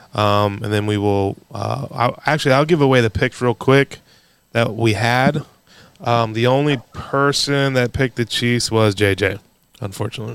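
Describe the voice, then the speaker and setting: This is an ordinary speaking voice, delivered at a moderate pace, its pitch varying in an ordinary way. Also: man, medium pitch for a man. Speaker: sports podcast host. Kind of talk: casual chat. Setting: studio.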